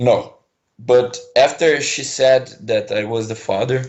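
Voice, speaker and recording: A man speaks with a Brazilian accent. His pace is very slow. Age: 20s. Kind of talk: caller on a call-in show. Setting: phone line. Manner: hesitant.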